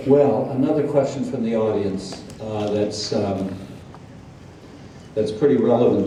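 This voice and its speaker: A man's medium-pitched voice at a moderate pace, fairly even in intonation, with noticeable background noise. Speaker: psychologist, interviewer. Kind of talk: interview questions on stage.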